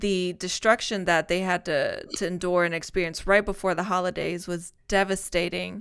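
A woman speaks at a moderate pace with a medium pitch and hardly any pauses. The recording is very clean, with a silent background. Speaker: radio show host. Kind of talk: radio DJ patter, upbeat party-show intro and ad read. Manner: animated, upbeat.

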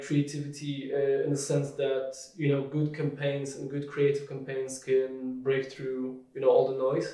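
Against audible room echo, a man with a Polish accent speaks at a fairly slow pace. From southern Poland (Krakow). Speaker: marketing director. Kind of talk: interview.

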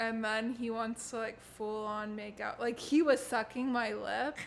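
A woman's high-pitched voice at a fairly slow pace. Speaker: podcast host. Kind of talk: casual chat.

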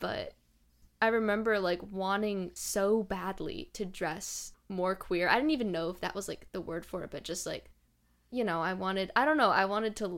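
A woman's medium-pitched, plain, everyday voice with ordinary pitch variation and a moderate pace, in a very clean recording with a silent background. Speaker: podcast host. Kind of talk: casual interview chat.

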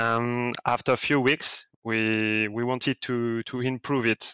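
A man speaks very slowly in a French accent, with a medium pitch and a bright, sharp tone. His intonation is monotone and flat, and the sound is dry and close with no echo. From France. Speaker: NFT project art director. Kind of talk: community AMA on Discord. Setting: Discord voice chat. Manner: halting.

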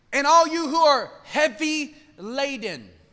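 This man's voice is raised and projected, animated in tone and bright and sharp in quality. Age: 40s. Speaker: pastor. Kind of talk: sermon.

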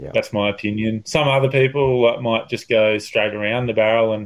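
Using a medium pitch, a man with an Australian accent speaks at a moderate pace with fairly even intonation. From northern New South Wales, Australia. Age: 30s. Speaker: professional bodyboarder. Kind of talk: casual interview chat. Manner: halting, many fillers; relaxed.

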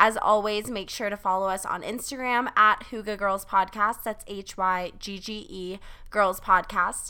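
A woman's bright, sharp voice with an American accent, medium in pitch, at a fairly slow pace, with fairly even intonation and big swings in loudness. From South Carolina. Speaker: podcast co-host, college student. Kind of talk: casual chat.

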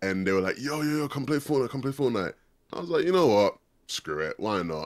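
The speaker is a man. His intonation is lively. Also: very clean recording, silent background. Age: 20s. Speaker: esports caster and analyst. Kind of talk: casual chat. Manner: distinctive expressive delivery.

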